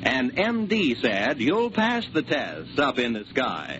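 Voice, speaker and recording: Noticeable background noise sits behind a man speaking at a very slow pace. His pitch makes very wide swings. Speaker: radio announcer. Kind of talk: radio announcing, promos and credits. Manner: formal, polished announcer delivery.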